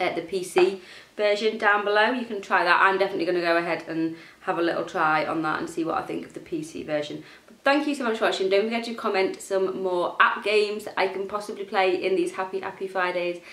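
A woman's very fast speech with big swings in loudness, ordinary pitch variation and audible room echo. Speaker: gaming youtuber. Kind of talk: gameplay commentary. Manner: casual, chatty.

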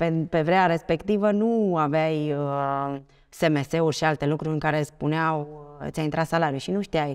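A woman with a very deep, low voice, ordinary pitch variation and a fairly slow pace. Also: quiet background. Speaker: bank executive; podcast guest. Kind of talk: interview. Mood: relaxed, reminiscing. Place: studio. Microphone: lapel.

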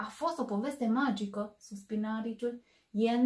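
Quiet background, a natural reading voice, and ordinary pitch variation.

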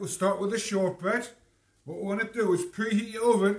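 Audible room echo around a man speaking high for his sex, at a moderate pace. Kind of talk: cooking tutorial. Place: kitchen.

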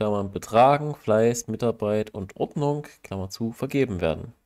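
A man talks at a moderate pace with lively intonation in an ordinary speaking voice. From Saxony, Germany. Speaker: podcast co-host. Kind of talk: casual chat.

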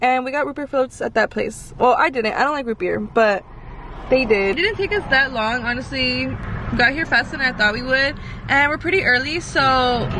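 A woman talks at a moderate pace in a high voice with ordinary pitch variation. The sound is dry with no echo, with light background noise. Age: 20s. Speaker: vlogger. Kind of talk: casual vlog talk. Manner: animated.

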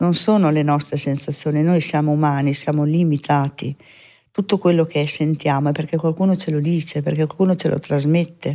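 Against a quiet background, a woman speaks fairly quickly in a very deep, low voice with a dark, mellow tone, fairly even intonation and very even loudness. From northern Italy, Veneto (Mestre); Veneto, Italy. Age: 60s. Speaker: medium; podcast guest. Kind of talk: interview testimony. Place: studio. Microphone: studio mic.

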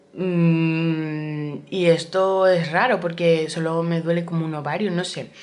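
With a Spanish accent, a woman speaks very slowly in a fairly low voice. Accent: Peninsular Spanish. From Spain. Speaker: vlogger; pregnant vlogger. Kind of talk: casual vlog talk to camera. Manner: chatty, animated. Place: home room. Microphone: phone near.

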